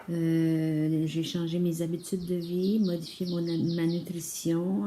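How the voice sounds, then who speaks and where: Somewhat breathy, a woman's fairly low voice has a dark, mellow tone. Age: 60s. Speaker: retired accountant, client testimonial. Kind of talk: testimony. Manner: halting, many hesitations.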